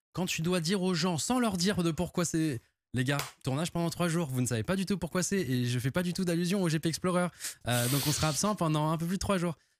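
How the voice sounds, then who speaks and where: Light background noise sits under a dry sound with no echo as a man speaks at a high pitch and a fairly quick pace. His pitch variation is ordinary, and his loudness very even. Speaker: podcast guest. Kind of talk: interview answer. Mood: relaxed, cheerful, laughing. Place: studio. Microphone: studio mic.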